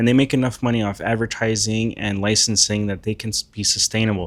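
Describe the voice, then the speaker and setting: Talking at a fairly quick pace, a man with a non-native accent speaks at medium pitch. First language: not English. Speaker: commentator, artist. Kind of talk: casual commentary vlog.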